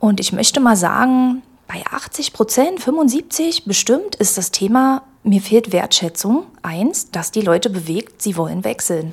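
The voice moves at a very slow pace while its pitch swings very widely. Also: woman, fairly high pitch for a woman. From Magdeburg, eastern Germany. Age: 40s. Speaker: employment agency career adviser. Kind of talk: casual interview. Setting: studio.

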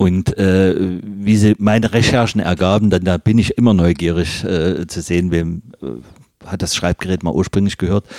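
In a Saxon accent, a man talks at a moderate pace with a very deep, low pitch, ordinary pitch variation and a relaxed, dark, mellow tone, recorded dry and close with no echo. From Leipzig, Saxony (eastern Germany). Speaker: fountain pen repairer. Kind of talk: interview. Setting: workshop.

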